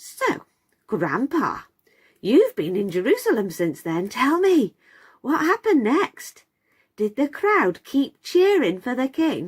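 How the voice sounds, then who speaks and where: A female-sounding put-on character voice, high in pitch, moves at a fairly slow pace with very wide pitch swings. The recording is very clean, with a silent background. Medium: read story. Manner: eager, excitable.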